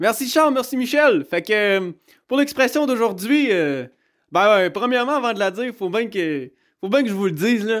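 A man talks at a moderate pace in a high pitch with lively intonation. The recording is very clean, with a silent background. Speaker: podcast segment presenter. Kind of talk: casual intro.

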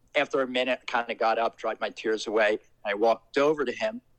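A man speaks at a moderate pace with a New Jersey accent, his pitch medium and his intonation fairly even. The sound is dry and close, with no echo. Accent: New Jersey American. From US Northeast, Trenton, New Jersey. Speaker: paranormal story guest. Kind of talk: personal storytelling.

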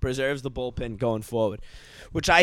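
The speaker has an American accent, ordinary pitch variation and a moderate pace. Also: man. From US Northeast, Boston area. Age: 30s. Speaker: podcast host. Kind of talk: casual monologue.

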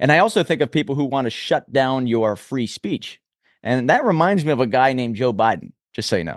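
At a fairly quick pace and medium pitch, a man talks in an ordinary speaking voice with lively intonation, recorded dry and close with no echo in a quiet background. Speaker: podcast host. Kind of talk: interview. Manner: assertive, argumentative.

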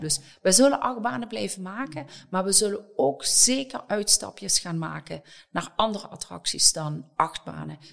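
A woman is speaking. Her pace is fairly slow. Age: 60s. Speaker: company director of people and change. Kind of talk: podcast interview.

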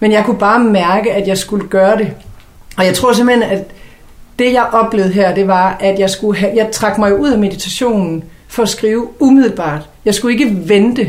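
Ordinary pitch variation amid audible room echo and noticeable background noise. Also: woman, medium pitch for a woman, moderate pace. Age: 40s. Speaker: columnist and podcast co-host. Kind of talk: casual chat.

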